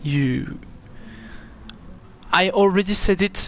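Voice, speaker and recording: A man with a strong French accent and ordinary pitch variation. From France. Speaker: esports race commentator. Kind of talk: live commentary. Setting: live stream. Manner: halting, frequent fillers.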